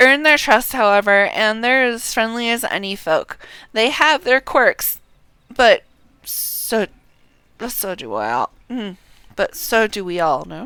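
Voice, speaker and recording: A woman in a put-on character voice, raspy and fairly high-pitched with lively intonation, speaks fairly slowly with long, frequent pauses on a very clean recording with a silent background. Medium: game stream.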